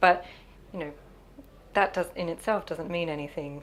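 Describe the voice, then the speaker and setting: A woman with an Australian accent, fairly low in pitch, her intonation fairly even. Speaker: sustainability facilitator. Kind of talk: interview. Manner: hesitant with fillers.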